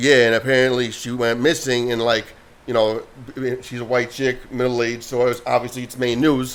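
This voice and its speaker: A man of medium pitch at a fairly quick pace, against noticeable background noise. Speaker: podcast co-host. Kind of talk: casual chat. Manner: loud; animated.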